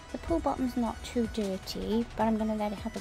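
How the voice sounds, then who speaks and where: A woman's voice over clear background music. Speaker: home pool owner reviewing a gadget. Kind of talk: casual product review narration. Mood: cheerful, pleased. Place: garden. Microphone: phone near.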